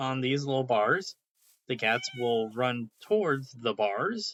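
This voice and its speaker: Recorded with a dry, close sound and no echo, a man speaks at a medium pitch with lively intonation. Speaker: gaming youtuber. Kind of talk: gameplay tutorial. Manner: hesitant, many fillers.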